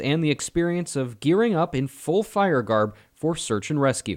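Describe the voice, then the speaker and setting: In a very clean recording with a silent background, a man uses an ordinary speaking voice, fairly high in pitch, with lively intonation at a moderate pace. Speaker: TV news reporter and anchor. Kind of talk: TV news report delivered to camera. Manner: clear, polished, broadcast delivery.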